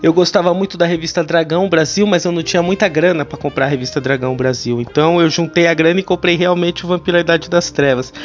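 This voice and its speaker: The speech rushes along at a very fast pace with hardly any pauses and ordinary pitch variation over noticeable background noise. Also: man, high pitch for a man. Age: 30s. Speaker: podcast host and writer. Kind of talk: casual monologue. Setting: home. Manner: animated.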